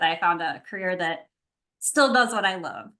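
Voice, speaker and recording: A woman with a slight Wisconsin accent talks at a fairly quick pace in a bright, sharp tone. Her pitch variation is ordinary, and the background is quiet. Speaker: university student conduct coordinator, prospective doctoral student. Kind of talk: casual introduction in online info session.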